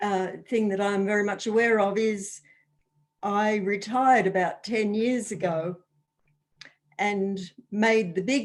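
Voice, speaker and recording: A woman speaks with an Australian accent at medium pitch and fairly even intonation. Her pace is fairly slow, broken by long, frequent pauses. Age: 70s. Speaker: retired landowner. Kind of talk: casual chat.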